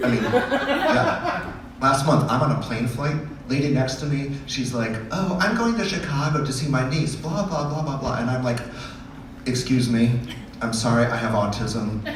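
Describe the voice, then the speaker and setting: Noticeable background noise and audible room echo fill the recording. A man talks at medium pitch with ordinary pitch variation. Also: moderate pace. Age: 60s. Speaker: stand-up comedian. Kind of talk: stand-up.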